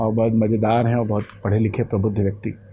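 A man's somewhat breathy, dark, mellow voice moves at a moderate pace. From Ayodhya, Uttar Pradesh; Uttar Pradesh. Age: 40s. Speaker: poet and editor; poet. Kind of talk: interview. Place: home room. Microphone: lapel.

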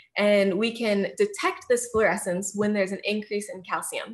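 With an American accent and a bright, sharp tone, a woman speaks at a moderate pace in a fairly high pitch with ordinary pitch variation over a quiet background. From US Midwest, outside Kansas City, Missouri; Missouri. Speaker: neuroscience graduate student; presenter. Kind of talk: lecture. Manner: frequent filler words and hesitations.

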